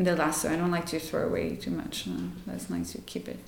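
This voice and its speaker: A woman talks at a fairly quick pace. Noticeable background noise and audible room echo surround her voice. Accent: French. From France. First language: French. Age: 30s. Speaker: yoga teacher. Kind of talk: casual interview. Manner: spontaneous, hesitant with fillers.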